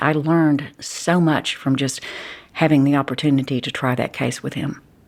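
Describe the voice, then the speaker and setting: A woman speaks in a very deep, low pitch with a strong Texas accent. Her pace is moderate. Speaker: criminal defense attorney. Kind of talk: interview.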